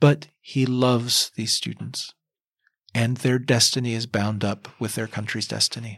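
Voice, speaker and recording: An unremarkable speaking voice, a man with an American accent at medium pitch, fairly slow pace and fairly even intonation. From US South, Kentucky. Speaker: novelist. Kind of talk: interview.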